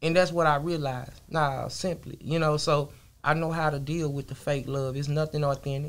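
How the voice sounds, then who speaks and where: Here a man speaks at a moderate pace. His intonation stays monotone and flat. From Texas. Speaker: rapper; interview guest. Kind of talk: casual interview. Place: studio. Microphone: studio mic.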